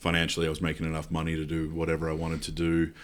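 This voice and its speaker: A man with an Australian accent speaks in a very deep, low voice. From South Australia. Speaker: pastor. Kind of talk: interview testimony. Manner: casual, with frequent fillers.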